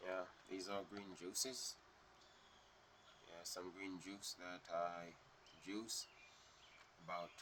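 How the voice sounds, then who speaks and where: Through noticeable background noise, a man with a very deep, low pitch talks in a relaxed tone at a very slow pace, with long, frequent pauses. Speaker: vlogger. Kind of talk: casual vlog talk. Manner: relaxed, hesitant with fillers.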